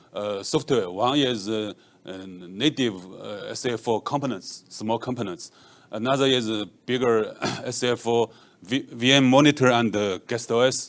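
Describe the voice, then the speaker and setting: Moderate pace and ordinary pitch variation. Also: man. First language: Chinese. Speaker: software engineer; conference presenter. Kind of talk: conference talk. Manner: halting, many fillers. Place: hall. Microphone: handheld.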